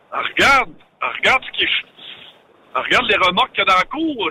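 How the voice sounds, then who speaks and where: Against noticeable background noise, the speaker keeps a moderate pace while the pitch swings very widely. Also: man. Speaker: trucking industry commentator. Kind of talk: casual chat.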